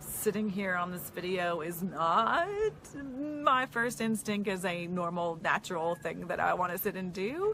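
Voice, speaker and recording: A woman's animated, fairly slow delivery with lively intonation. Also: medium pitch for a woman. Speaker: marketing coach. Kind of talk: casual vlog talking to camera.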